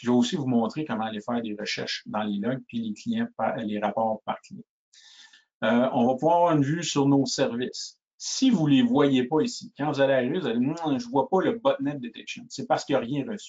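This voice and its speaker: A man talks at a fairly quick pace and a fairly high pitch. His pitch swings very widely. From Quebec (Shawinigan). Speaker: sales engineer. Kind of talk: webinar product demo. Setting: online webinar. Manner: halting, frequent repetitions and fillers.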